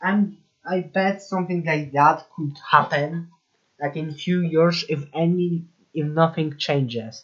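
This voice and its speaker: Very slow pace with a non-native accent. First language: not English. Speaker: YouTube commentator. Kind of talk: commentary video monologue.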